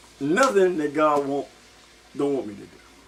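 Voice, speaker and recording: A man speaks in an animated tone against noticeable background noise. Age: 70s. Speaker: vlogger. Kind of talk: casual monologue.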